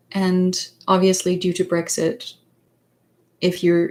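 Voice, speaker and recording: Somewhat breathy, a woman in a Danish accent talks at a fairly slow pace with a medium pitch. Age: 30s. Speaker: psychologist and author. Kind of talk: livestream chat. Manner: halting, many fillers.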